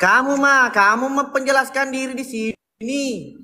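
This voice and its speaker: This man's raised, projected voice sits at an extremely high pitch, and his intonation stays fairly even. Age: 20s. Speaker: comedian. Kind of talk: casual live-stream chat.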